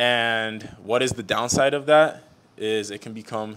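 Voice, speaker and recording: This voice belongs to a man. His pitch rises and falls only a little. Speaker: jump coach host. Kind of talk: explanatory talk to camera. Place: gym.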